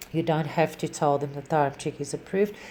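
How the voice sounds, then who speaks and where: A woman's very deep, low voice, dark and mellow in tone, with a non-native accent and a flat, monotone delivery. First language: not English. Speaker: animal rescue volunteer. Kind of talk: tutorial. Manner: halting.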